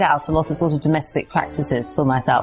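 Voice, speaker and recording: A woman speaks in an enthusiastic tone. There is music in the background. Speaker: historian, museum curator. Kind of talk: book promotion talk to camera. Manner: enthusiastic, chatty.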